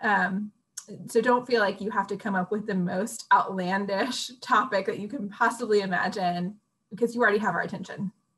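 This voice moves at a fairly quick pace with fairly even intonation. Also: woman. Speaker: college admissions dean. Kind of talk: educational webinar. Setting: video call. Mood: friendly, reassuring.

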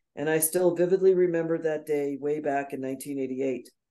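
Against a quiet background, the voice carries a dark, mellow tone and fairly even intonation. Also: woman. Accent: American. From US Northeast (New York). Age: 60s. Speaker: nurse, coach and speaker; interview guest. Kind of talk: interview. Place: home room. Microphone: video call.

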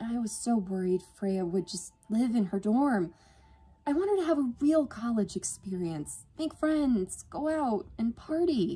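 A woman's put-on character voice, fairly high in pitch, with big pitch swings, a slightly husky edge, a dark, mellow tone and a fairly slow pace

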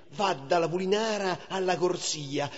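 A man speaks in a Roman accent. His pitch is high. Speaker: actor. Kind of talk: poetry reading.

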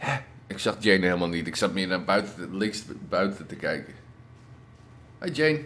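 A man's fairly low, lively voice at a moderate pace, broken by long, frequent pauses. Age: 30s. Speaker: gaming youtuber. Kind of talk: let's play commentary.

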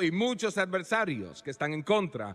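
A man speaks at a moderate pace. His voice is raised and projected. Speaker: preacher. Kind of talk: sermon, preacher in full flow, TV evangelism. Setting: church with live congregation and TV broadcast. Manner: fiery, emphatic, pounding rhetorical repetition; confrontational, urgent, calling for response.

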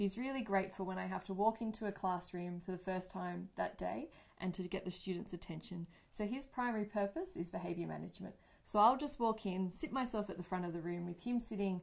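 The speaker sounds somewhat breathy, talking at a fairly quick pace with ordinary pitch variation against a quiet background. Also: woman. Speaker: teacher. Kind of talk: interview answer. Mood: friendly, warm. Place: studio.

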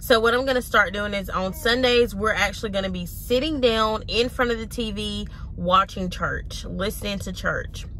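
With light background noise and a dry sound with no echo, a woman talks at a moderate pace with hardly any pauses. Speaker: mom vlogger. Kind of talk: casual vlog chat. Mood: earnest, reflective. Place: car.

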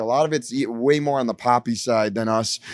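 A man with an American accent and a plain, everyday voice, at a moderate pace with ordinary pitch variation. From US Midwest, Detroit. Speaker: rock musician. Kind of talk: casual interview. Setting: backstage at a bar venue.

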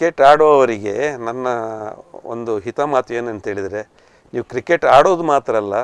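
In a plain, everyday voice, a man talks at medium pitch with ordinary pitch variation, the sound dry and close with no echo. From coastal Karnataka (Kinnigoli, Dakshina Kannada). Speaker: retired banker and former cricketer. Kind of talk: interview. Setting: studio.

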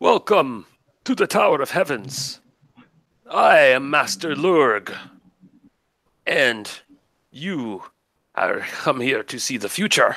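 Putting on a character voice, a man speaks at a fairly high pitch with very wide pitch swings, keeping a fairly slow pace with long, frequent pauses. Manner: imposing, formal, well-rehearsed.

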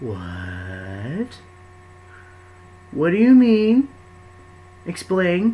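A put-on character voice, robotic and shrill, at a middle pitch. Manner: demanding, shouting.

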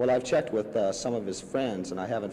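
There is light background noise. A man talks in a fairly low pitch. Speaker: person questioned by press about trial. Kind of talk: press interview answer. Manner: hesitant, measured.

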